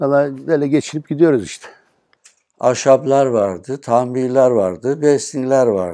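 A man's medium-pitched voice with a dark, mellow tone, a fairly slow pace, ordinary pitch variation and big swings in loudness, over a quiet background. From Turkey, Düzce region (Sarıdere village); Turkey. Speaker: retired police officer, villager; interviewee. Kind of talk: interview.

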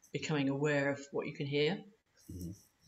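In a London accent, a woman speaks with a very deep, low pitch and a somewhat breathy sound. Light background noise can be heard. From East London. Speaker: opera singer; holistic voice therapist. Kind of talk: interview answer. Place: home room. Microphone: video call.

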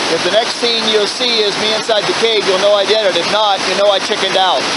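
The speech moves at a very fast pace, the sound dry with no echo, over loud background noise. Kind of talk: casual vlog chat. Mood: nervous, frightened. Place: waterside. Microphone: phone near.

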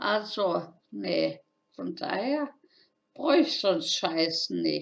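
A woman talks slowly at a medium pitch with vocal fry. Her pitch swings very widely.

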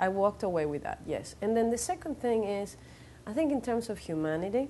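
Over light background noise, a voice with a dark, mellow tone moves at a fairly quick pace through very wide pitch swings. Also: woman, fairly high pitch for a woman. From Venezuela. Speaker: actress and model. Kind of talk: interview answer. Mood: thoughtful, reflective. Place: studio. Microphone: lapel.

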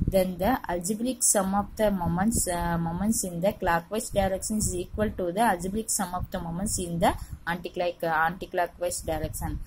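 Here is a woman with a plain, everyday voice. She speaks at a medium pitch, and her intonation stays fairly even. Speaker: teacher. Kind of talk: lecture.

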